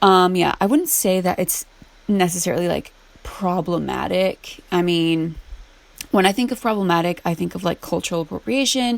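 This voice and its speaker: This is a woman speaking. She has a normal speaking voice at medium pitch. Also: ordinary pitch variation, moderate pace. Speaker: gaming YouTuber. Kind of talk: casual chat while gameplay building. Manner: casual, filler-heavy.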